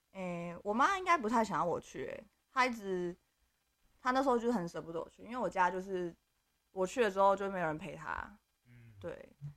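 A woman's medium-pitched voice at a fairly quick pace, with ordinary pitch variation, big swings in loudness, and long, frequent pauses. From Taiwan. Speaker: expat office worker. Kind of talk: casual chat.

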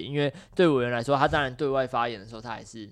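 A man's medium-pitched voice comes through against a quiet background. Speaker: legislative aide hosting podcast. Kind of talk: casual chat.

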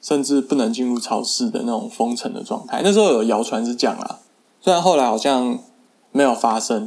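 A man speaks at a medium pitch with very wide swings in his pitch. His pace is fairly quick. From Taiwan. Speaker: podcaster. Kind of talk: casual monologue.

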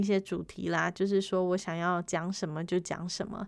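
A woman with a Taiwanese accent is heard in a very clean recording with a silent background. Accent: Taiwanese Mandarin. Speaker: podcast host. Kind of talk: casual monologue.

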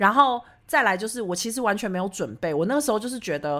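Animated and very fast, a woman's voice swings very widely in pitch. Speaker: podcast host. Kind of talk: casual chat. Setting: remote recording. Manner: fast talker.

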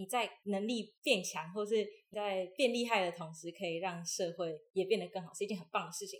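A normal speaking voice at a moderate pace, hardly any pauses, ordinary pitch variation and big swings in loudness. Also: woman, medium pitch for a woman. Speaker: university student and former acrobatic performer. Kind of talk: interview conversation.

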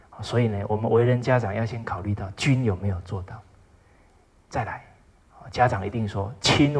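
A man's somewhat breathy voice at a medium pitch. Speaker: lecturer on traditional Chinese ethics. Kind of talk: lecture. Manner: frequent filler particles, measured pace.

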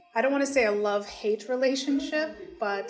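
A woman with an American accent, at a moderate pace, making very wide pitch swings over noticeable background noise. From US Midwest, Michigan. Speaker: teacher and interpreter. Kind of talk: casual interview in English.

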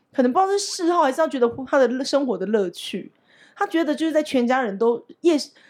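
Very fast and with very wide pitch swings, a woman with a northeastern Taiwanese accent speaks in a dark, mellow tone. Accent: Yilan. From Yilan, Taiwan. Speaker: podcast co-host and English teacher. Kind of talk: casual chat.

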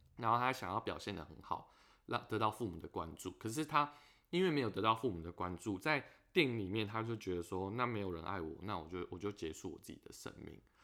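A man with a fairly low pitch and a bright, sharp tone talks at a fairly quick pace with lively intonation. His loudness swings widely on a very clean recording with a silent background. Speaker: podcast host. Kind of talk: casual chat.

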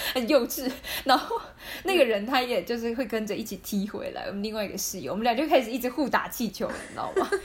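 Against noticeable background noise, a woman with a high-pitched voice and lively intonation speaks at a very fast pace. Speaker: podcast co-host. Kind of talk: casual chat.

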